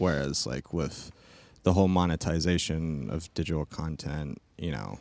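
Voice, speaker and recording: A man with an American accent and a very deep, low pitch, at a moderate pace with ordinary pitch variation. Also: very clean recording, silent background. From California, Stockton. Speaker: film school graduate. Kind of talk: casual interview. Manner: hesitant, many fillers.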